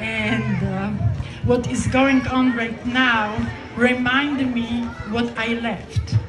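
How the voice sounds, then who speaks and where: A woman speaks very slowly with a Polish accent. Noticeable noise runs in the background. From Poland. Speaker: political activist. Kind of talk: public speech. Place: open country. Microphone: pa.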